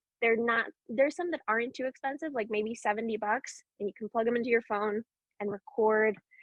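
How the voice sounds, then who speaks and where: At a fairly quick pace, a woman talks with a fairly high pitch and ordinary pitch variation. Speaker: actor and voiceover artist. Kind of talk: panel discussion. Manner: fast.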